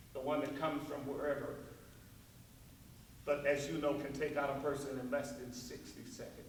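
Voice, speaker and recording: Someone speaks at a moderate pace in a flat monotone, pausing long and often, with audible room echo and noticeable background noise. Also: man, fairly high pitch for a man. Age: 70s. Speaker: symposium speaker. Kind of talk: public talk. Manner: conversational.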